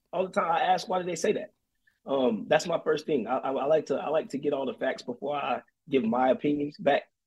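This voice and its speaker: A man with an American accent has a normal speaking voice, talking at a fairly quick pace with a fairly high pitch and lively intonation. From North Carolina, Fayetteville. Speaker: army recruiter, soldier. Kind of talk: casual interview chat. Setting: remote call by phone.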